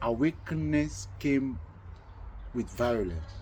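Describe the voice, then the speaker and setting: A man's voice carries a dark, mellow tone and is somewhat breathy, with very wide pitch swings. Room echo is audible. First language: not English, multilingual (Ukrainian, Russian). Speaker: talk show host. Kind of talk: casual conversation. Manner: halting, self-correcting.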